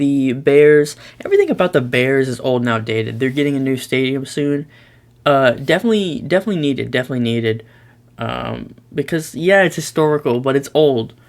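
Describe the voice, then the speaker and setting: Delivery moves at a fairly quick pace. The pitch shifts in an ordinary way. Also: man, fairly high pitch for a man. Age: young. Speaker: YouTuber, sports commentator. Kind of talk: casual commentary, tier list. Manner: loud; hesitant, many fillers.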